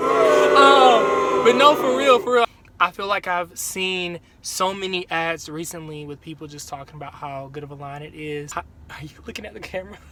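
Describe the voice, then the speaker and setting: Over noticeable background noise, a man talks at a moderate pace in a fairly high voice, with lively intonation and big swings in loudness. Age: 20s. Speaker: hair care vlogger. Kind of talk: casual talk to camera.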